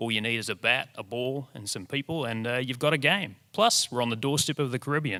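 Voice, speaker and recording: Speaking with a New Zealand accent, a man goes at a fairly quick pace with hardly any pauses, his medium pitch showing ordinary variation. His tone is bright and sharp, and the recording is very clean with a silent background. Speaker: presenter, radio reporter. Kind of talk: short presentation talk to an audience.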